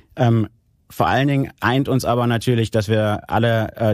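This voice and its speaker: This man's voice is fairly low and his pace is moderate. The background is silent on a very clean recording. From Germany, Aachen (Rhineland). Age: 40s. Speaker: regional development manager. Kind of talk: interview. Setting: studio. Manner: hesitant, many filler sounds.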